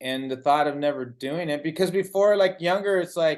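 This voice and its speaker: A man's normal speaking voice at a fairly high pitch, with ordinary pitch variation and a moderate pace, against a quiet background. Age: 60s. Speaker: interviewer. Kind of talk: interview.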